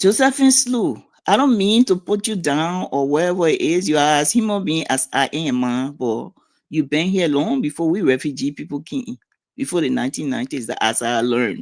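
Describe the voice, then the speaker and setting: In a very clean recording with a silent background, a woman with a Liberian accent speaks in a very deep, low pitch, animated in tone, with very wide pitch swings. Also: moderate pace. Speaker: community figure interviewed on a talk show. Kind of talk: casual interview. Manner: blunt, animated.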